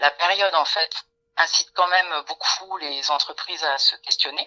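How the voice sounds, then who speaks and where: A woman talks with fairly even intonation. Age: 40s. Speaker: workplace wellbeing consultant. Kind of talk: interview.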